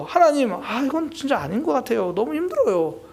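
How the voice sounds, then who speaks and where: Someone does a put-on character voice at a high pitch and a fairly quick pace. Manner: grumbling, complaining, half-whiny.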